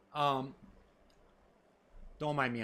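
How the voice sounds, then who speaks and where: A man with an American accent talks at a moderate pace in a bright, sharp tone. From central Minnesota. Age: 40s. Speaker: gaming streamer, military veteran. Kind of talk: casual chat.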